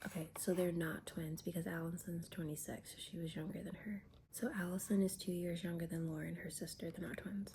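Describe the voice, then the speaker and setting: A woman whispering, somewhat breathy, at a fairly quick pace with hardly any pauses. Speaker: YouTuber reviewing reality TV. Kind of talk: casual vlog commentary.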